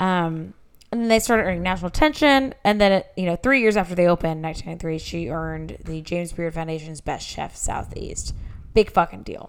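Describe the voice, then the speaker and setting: Her loudness swinging widely, a woman talks at a fairly quick pace. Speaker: podcast host. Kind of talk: casual chat.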